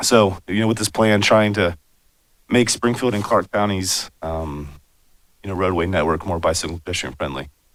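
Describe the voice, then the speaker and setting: A man's very deep, low voice with an American accent, moderate pace and ordinary pitch variation. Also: very clean recording, silent background. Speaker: transportation planner. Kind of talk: public presentation. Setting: city commission meeting. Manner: many fillers.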